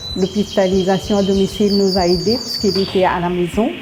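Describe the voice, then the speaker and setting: Noticeable noise sits in the background as a woman talks. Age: 60s. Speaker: foster carer for elderly. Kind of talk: interview testimony.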